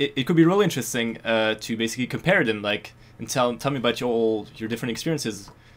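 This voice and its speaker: In a French accent, a man talks at a very fast pace with a medium pitch and ordinary pitch variation. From France. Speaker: podcast interviewer. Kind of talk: interview.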